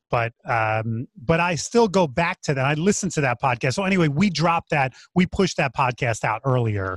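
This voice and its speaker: A man talks at a moderate pace with very wide pitch swings and a somewhat breathy sound. The recording is dry with no echo and has a quiet background. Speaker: podcast co-host. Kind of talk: podcast discussion. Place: home room. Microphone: studio mic.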